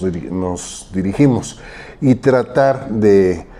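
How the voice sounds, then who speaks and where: Lively intonation from a man with a fairly low pitch, over noticeable background noise. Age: 70s. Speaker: social activist and commentator. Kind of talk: interview.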